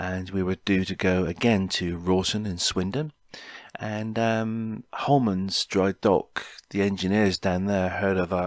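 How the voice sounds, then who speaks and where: In a Cornish accent, a man with a fairly low voice speaks at a fairly slow pace with fairly even intonation, recorded very cleanly against a silent background with a dry, close sound and no echo. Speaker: podcaster. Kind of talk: personal storytelling podcast. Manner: halting, many fillers.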